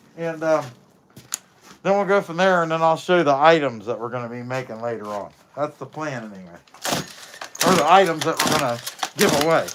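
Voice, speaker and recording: Noticeable background noise runs under speech that moves at a fairly quick pace yet has long, frequent pauses. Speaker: chainsaw carver. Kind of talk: casual live stream talk. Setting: outdoors.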